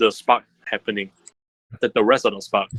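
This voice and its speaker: Recorded with a dry, close sound and no echo, a man speaks at a moderate pace with vocal fry and a bright, sharp tone. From Singapore. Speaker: gaming podcast co-host. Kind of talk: casual chat.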